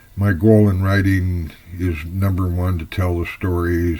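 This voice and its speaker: With an American accent, a man speaks fairly slowly in a very deep, low voice and a monotone, flat intonation. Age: 70s. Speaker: fiction writer. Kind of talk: personal introduction monologue. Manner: unscripted, slightly halting.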